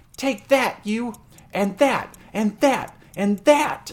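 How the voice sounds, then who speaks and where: A put-on character voice cackles, shrill and fairly high in pitch. The pace is very slow. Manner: shrill, cackling.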